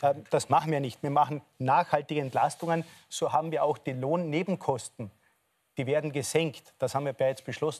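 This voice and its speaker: A man with an Austrian accent speaks at a moderate pace with fairly even intonation. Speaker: politician. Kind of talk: heated debate. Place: studio.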